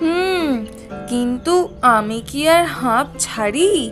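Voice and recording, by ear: A woman's high-pitched, cartoonish character voice at a very slow pace, with faint music in the background. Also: lively intonation, fairly bright tone.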